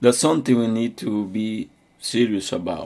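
Speaking with a non-native accent, a man talks at a fairly slow pace in a dark, mellow tone. The recording is very clean with a silent background. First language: not English. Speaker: preacher. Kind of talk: sermon. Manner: halting.

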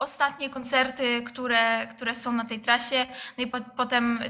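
A woman's fairly high voice at a moderate pace. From Poland, Rzeszów. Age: 20s. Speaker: drummer. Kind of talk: interview.

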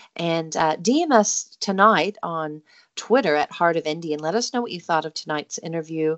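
A woman with a New Zealand accent, fairly low-pitched, at a moderate pace. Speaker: radio host. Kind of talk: radio interview, friendly chat. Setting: radio studio, remote link.

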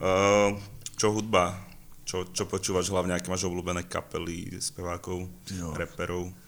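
Very deep, low-pitched man with a Slovak accent, monotone and flat, at a fairly slow pace. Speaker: podcast host. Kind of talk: casual interview.

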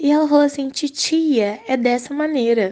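A woman's words come at a moderate pace, the background quiet. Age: young. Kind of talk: recorded voice message. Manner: casual.

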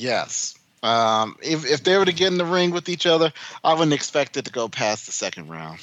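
Here a man with a fairly high pitch talks at a moderate pace with lively intonation. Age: 40s. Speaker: MMA podcast co-host. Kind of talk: casual chat about combat sports. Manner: animated.

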